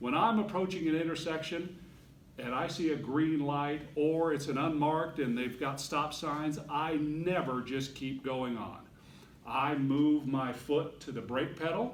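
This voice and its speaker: Ordinary pitch variation at a fairly slow pace, with audible room echo. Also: man, fairly high pitch for a man. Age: 60s. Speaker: Toastmasters club speaker. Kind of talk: prepared speech.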